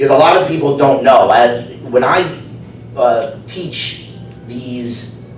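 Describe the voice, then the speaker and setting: In a New Jersey accent, a man speaks with ordinary pitch variation. Audible room echo and noticeable background noise are present. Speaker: speech evaluator, fitness instructor. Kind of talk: speech evaluation at club meeting.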